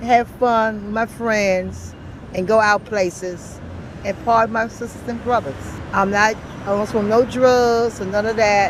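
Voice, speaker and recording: Through noticeable background noise, a woman speaks at a fairly slow pace and fairly high pitch with fairly even intonation. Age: 60s. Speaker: homeless person. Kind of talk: street interview.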